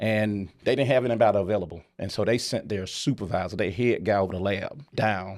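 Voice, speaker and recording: On a very clean recording with a silent background, a man with a strong Southern US accent and a fairly low pitch talks with hardly any pauses and ordinary pitch variation. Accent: deep Southern drawl. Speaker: company founder and CEO. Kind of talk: interview storytelling. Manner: animated.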